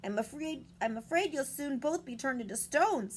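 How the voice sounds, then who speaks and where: A woman uses a put-on character voice that is high-pitched, croaky and hoarse. Background noise is clearly audible. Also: moderate pace. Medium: read story.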